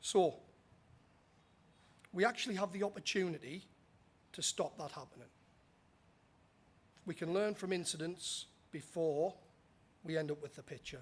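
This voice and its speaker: A man speaks at a high pitch and a moderate pace, with ordinary pitch variation. His loudness swings widely, and he takes long, frequent pauses. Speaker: safety manager, conference presenter. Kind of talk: conference presentation. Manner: casual, some filler words.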